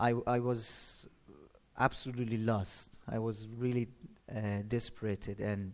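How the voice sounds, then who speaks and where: In a Persian accent, a man speaks at a medium pitch with monotone, flat intonation and long, frequent pauses. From Iran, Shiraz. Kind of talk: testimony. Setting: church stage with audience. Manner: halting.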